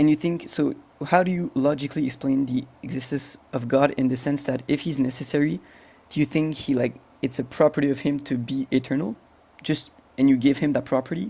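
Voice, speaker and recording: A man's fairly high voice with a dark, mellow tone, a French accent, a fairly quick pace and ordinary pitch variation. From France. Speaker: agnostic debater. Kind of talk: debate. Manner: halting.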